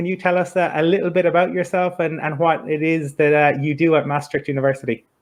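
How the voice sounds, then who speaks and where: Fairly quick man with an Irish accent and fairly even intonation. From Ireland. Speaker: podcast host, interviewer. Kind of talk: interview.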